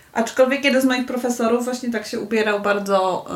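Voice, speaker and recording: There is noticeable background noise behind a woman's voice. Her pitch is fairly high and her intonation fairly even. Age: 30s. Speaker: university lecturer. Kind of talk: casual chat. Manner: halting.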